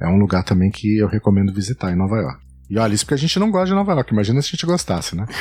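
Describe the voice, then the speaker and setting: Talking at a very fast pace, a man with a fairly low pitch uses lively intonation. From São Paulo state, Brazil. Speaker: travel blogger and podcaster. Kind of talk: casual interview chat.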